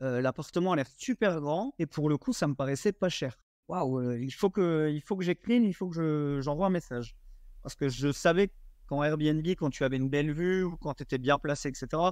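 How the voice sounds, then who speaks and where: At a moderate pace, a man with a fairly high pitch and ordinary pitch variation is recorded dry and close with no echo, against a quiet background. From eastern France. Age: 20s. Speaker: short-term rental investor. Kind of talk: podcast interview. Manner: animated storytelling.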